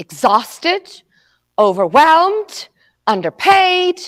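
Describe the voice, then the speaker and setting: Over a very clean recording with a silent background, a woman speaks at a very slow pace with very wide pitch swings. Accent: slight South African. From South Africa. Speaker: motivational speaker. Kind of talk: motivational talk. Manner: high energy.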